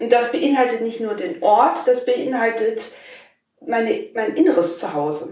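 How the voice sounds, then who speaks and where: The woman speaks at a fairly slow pace. Audible room echo lingers around her voice. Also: fairly high pitch for a woman, lively intonation. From Germany, Rhineland-Palatinate, small village. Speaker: podcast co-host. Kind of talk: casual chat.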